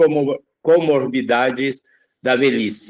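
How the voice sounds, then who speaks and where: A man's medium-pitched voice proceeds very slowly, its pitch varying in an ordinary way. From Brazil, São Paulo. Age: 70s. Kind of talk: interview.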